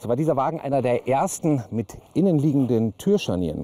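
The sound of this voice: A man speaks at a fairly quick pace and a medium pitch, with a dark, mellow tone. His pitch swings a lot.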